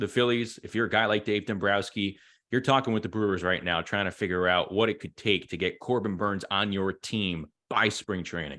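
In an ordinary speaking voice, a man talks at a fairly low pitch and a moderate pace with fairly even intonation. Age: 30s. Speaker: podcast host. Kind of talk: casual chat.

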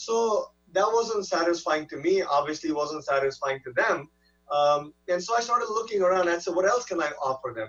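Over background music, a man with a high pitch speaks at a moderate pace. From India, raised in California. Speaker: neurologist. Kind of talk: interview. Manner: halting, many fillers.

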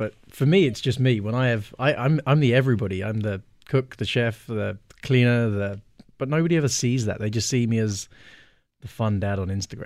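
At a fairly quick pace, a man talks at a medium pitch. He has a plain, everyday voice with ordinary pitch variation. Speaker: gin brand ambassador, single dad. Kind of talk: casual chat. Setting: studio. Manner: playful, joking.

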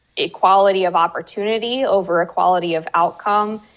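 Here is a woman with an American accent. Her pitch is medium. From US. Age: 20s. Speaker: journalist and author. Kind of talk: interview.

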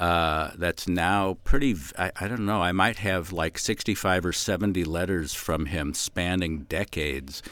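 A man's very deep, low voice with ordinary pitch variation, on a very clean recording with a silent background. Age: 60s. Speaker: writer. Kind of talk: casual chat.

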